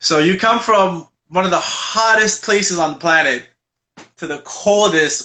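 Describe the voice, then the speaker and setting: The speaker has an animated tone and ordinary pitch variation. The pace is fairly slow. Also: man, high pitch for a man. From Angola, then Quebec. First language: Portuguese. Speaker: rapper. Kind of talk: casual interview chat. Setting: video call.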